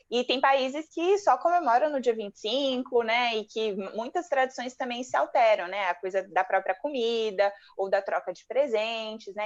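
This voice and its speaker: A woman's unremarkable speaking voice, fairly high-pitched, with lively intonation, a moderate pace and hardly any pauses. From Brazil. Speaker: psychologist and channel co-host. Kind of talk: casual chat.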